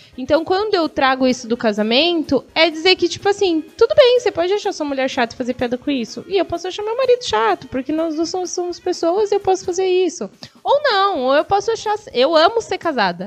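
The voice moves at a fairly quick pace with very wide pitch swings. Music plays in the background. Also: woman, extremely high pitch for a woman, hardly any pauses. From São Paulo state, Brazil (Guarulhos). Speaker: stand-up comedian. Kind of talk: casual interview chat. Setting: live radio/online stream.

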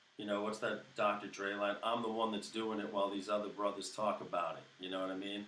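A man with an American accent and a fairly low pitch, fairly quick and monotone, with flat intonation, hardly any pauses and audible room echo. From US Northeast, Brooklyn, New York. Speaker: musician, guitarist and singer-songwriter. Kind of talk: casual interview chat.

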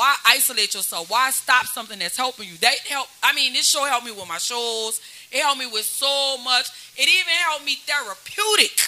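A woman with an American accent speaks in a raised, projected voice at a high pitch, her loudness swinging widely and her intonation lively at a fairly quick pace over noticeable background noise. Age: 40s. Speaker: hip-hop artist. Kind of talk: casual chat. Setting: studio.

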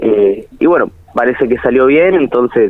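Here is a man with a plain, everyday voice. He talks at a moderate pace with ordinary pitch variation. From Argentina, El Chaltén (Santa Cruz, Patagonia). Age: 20s. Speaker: freestyle rapper. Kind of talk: radio interview.

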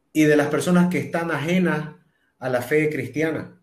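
A man talks very slowly amid audible room echo. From Bolivia, Santa Cruz. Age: 30s. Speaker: singer-songwriter and TV presenter. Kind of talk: interview testimony. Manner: halting with repetitions.

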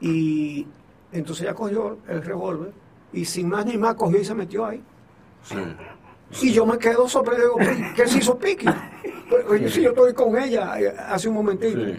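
Against noticeable background noise, a man with a high pitch talks at a moderate pace with ordinary pitch variation and long, frequent pauses. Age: 70s. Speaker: journalist. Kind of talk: radio interview.

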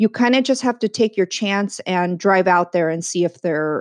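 Woman's medium-pitched voice with ordinary pitch variation, dry and close with no echo, over a quiet background. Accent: Californian. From San Diego, California. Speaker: podcast host. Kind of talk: casual chat.

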